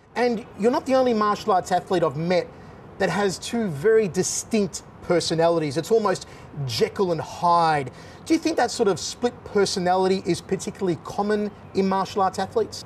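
A high-pitched, fairly quick male voice with an Australian accent and lively intonation, over light background noise. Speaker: combat sports commentator. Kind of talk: casual chat. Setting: studio.

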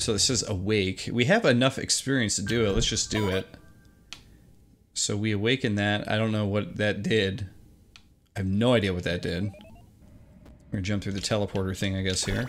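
Music can be heard behind the voice. The talking keeps a moderate pace. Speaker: game reviewer. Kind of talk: gameplay commentary. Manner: slurred; casual, hesitant with fillers.

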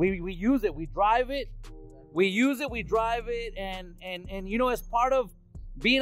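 A man speaks at an extremely high pitch and a fairly slow pace, with ordinary pitch variation. The sound is dry with no echo, and faint music plays in the background. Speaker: vlogger. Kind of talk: casual vlog chat, Spanish-English mix. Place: street. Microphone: phone near.

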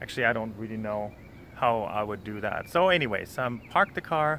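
Light background noise sits behind a man talking at a fairly quick pace. The sound is dry, with no echo. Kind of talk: casual vlog chat. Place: street. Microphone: phone near.

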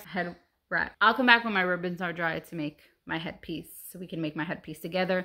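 A woman talks at a very fast pace in a bright, sharp tone and medium pitch. The background is quiet. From Puerto Rican heritage. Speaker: YouTuber / craft vlogger; craft vlogger. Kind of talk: casual DIY vlog; casual vlog chat. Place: home room. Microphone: phone near.

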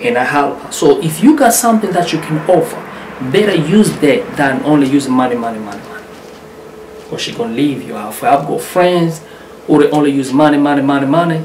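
Lively intonation at a fairly quick pace, with big swings in loudness, audible room echo and light background noise. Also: man, fairly high pitch for a man. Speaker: YouTuber. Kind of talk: vlog advice talk. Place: home room. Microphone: phone near.

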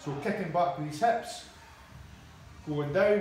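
Over noticeable background noise and audible room echo, a man with a high pitch talks at a moderate pace with ordinary pitch variation. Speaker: coach. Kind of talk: tutorial. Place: gym. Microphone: camera far.

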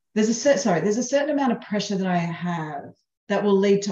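The voice carries audible room echo against a quiet background. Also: woman. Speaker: presenter or coach. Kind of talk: webinar talk.

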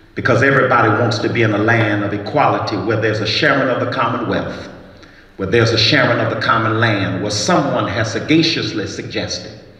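A man talking at a very fast pace, with audible room echo. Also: ordinary pitch variation. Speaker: pastor giving an address. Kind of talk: sermon. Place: stage. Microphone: handheld.

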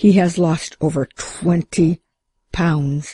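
A woman uses a growling, put-on character voice with fairly even intonation. The sound is dry and close, with no echo. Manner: through gritted teeth, resentful.

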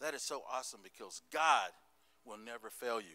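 With an American accent, a man talks in an animated, bright and sharp tone with ordinary pitch variation. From US South, Tennessee (Smoky Mountains). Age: old. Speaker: pastor. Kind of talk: sermon. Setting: church service with congregation. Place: church. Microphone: handheld.

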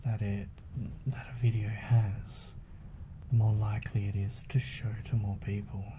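Over noticeable background noise, a soft-spoken man with a fairly low voice talks at a fairly slow pace in a relaxed tone, with fairly even intonation and long, frequent pauses. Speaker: ASMR content creator. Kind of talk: soft-spoken ASMR chat to camera. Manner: soft-spoken, relaxed. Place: home room. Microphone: studio mic.

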